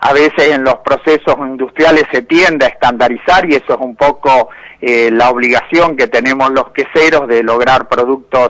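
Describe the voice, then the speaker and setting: A man with an ordinary speaking voice, moderate pace, hardly any pauses, ordinary pitch variation and very even loudness. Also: medium pitch for a man. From Argentina, inland (Buenos Aires, Córdoba, Santa Fe provinces). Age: 60s. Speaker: cheese industry manager, agronomist. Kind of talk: interview.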